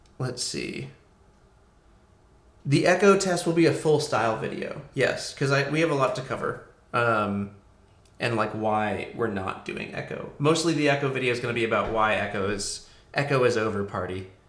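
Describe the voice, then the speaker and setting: A man at a moderate pace with lively intonation, amid audible room echo and noticeable background noise. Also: medium pitch for a man. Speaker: rocketry engineer and livestreamer. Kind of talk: live stream chat reading viewer questions. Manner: hesitant, many fillers.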